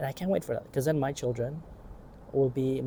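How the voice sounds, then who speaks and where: Speaking at a very fast pace, a man with a medium pitch has a dark, mellow, somewhat breathy tone and fairly even intonation. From Asia. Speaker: vlogger. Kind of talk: casual monologue. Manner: rambling.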